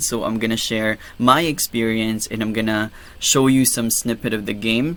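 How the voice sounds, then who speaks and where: A man with a Filipino accent speaks at a medium pitch and a fairly slow pace, his tone bright and sharp. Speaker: gaming YouTuber. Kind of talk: tutorial. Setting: home recording. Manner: soft-spoken; hesitant, many fillers.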